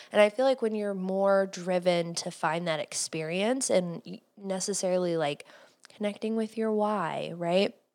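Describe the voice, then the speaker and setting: A woman speaks in an ordinary speaking voice with an American accent, medium pitch and ordinary pitch variation. She talks at a moderate pace on a very clean recording with a silent background. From Cleveland, US Midwest. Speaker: podcast host and entrepreneur. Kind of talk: casual interview.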